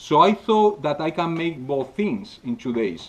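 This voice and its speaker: A man speaks with a Spanish accent. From Spain. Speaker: scale model painting instructor. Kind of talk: workshop demonstration. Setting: live audience at a convention. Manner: halting, many filler sounds.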